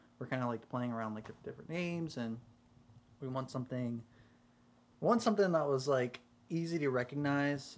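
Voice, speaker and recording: With long, frequent pauses, a man of medium pitch speaks at a fairly quick pace and ordinary pitch variation. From US South, South Carolina. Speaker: singer and songwriter. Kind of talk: casual chat.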